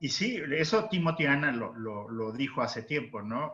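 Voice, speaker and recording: A man's fairly high, bright, sharp voice with lively intonation at a fairly slow pace. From Mexico. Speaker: historian, researcher; panelist. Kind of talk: academic panel discussion. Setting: video call. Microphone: video call.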